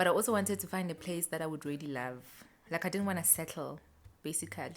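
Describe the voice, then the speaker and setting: With a South African accent, a woman speaks at a fairly quick pace with a very deep, low pitch and ordinary variation. The recording is very clean, with a silent background. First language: Xhosa. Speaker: lifestyle vlogger. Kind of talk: casual vlog chat. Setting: at home. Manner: chatty, conversational.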